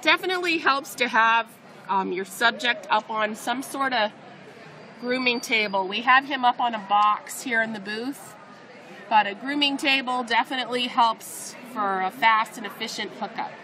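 A woman's voice with ordinary pitch variation over crowd noise in the background. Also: moderate pace. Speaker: vet tech demonstrator. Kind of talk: tutorial. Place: hall. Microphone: phone near.

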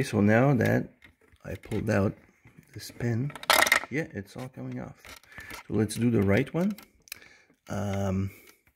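Man speaking at a fairly slow pace, lively intonation, big swings in loudness, long, frequent pauses, and loud background noise. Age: 40s. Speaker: DIY video maker. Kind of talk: tutorial. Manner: casual, hesitant with many fillers. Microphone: phone near.

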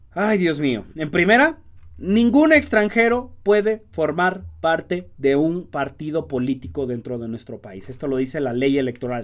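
Against a quiet background, a man talks at a fairly slow pace in a fairly high voice. His tone is animated, with very wide pitch swings. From Mexico. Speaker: political commentary youtuber. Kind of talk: political commentary monologue. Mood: indignant, sarcastic. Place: home room.

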